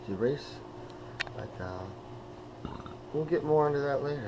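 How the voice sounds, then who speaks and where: A man's voice over noticeable background noise. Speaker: vlogger. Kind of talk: casual vlog talk to camera. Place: home room. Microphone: phone near.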